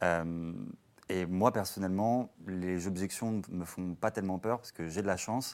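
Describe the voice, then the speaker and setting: In a very clean recording with a silent background, a man speaks at a fairly slow pace with a very deep, low pitch and fairly even intonation. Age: 20s. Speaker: startup salesperson. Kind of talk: panel discussion.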